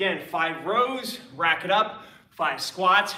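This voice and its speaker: Amid audible room echo, a man uses a raised, projected voice with ordinary pitch variation. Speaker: fitness coach. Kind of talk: workout instruction. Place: gym. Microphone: camera far.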